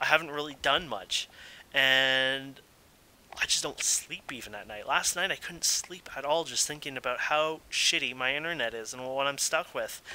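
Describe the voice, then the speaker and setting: A man talks at a moderate pace with a Canadian accent. His intonation stays fairly even. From Ontario, Canada. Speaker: gaming video creator. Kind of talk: complaint monologue. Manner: rambling, hesitant with many fillers.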